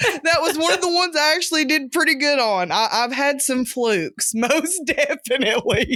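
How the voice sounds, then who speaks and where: A woman with a Southern US accent projects a raised, high-pitched voice with a bright, sharp tone, lively intonation and very even loudness, moving at a moderate pace with hardly any pauses. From US South. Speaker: podcast co-host, guest. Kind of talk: casual chat.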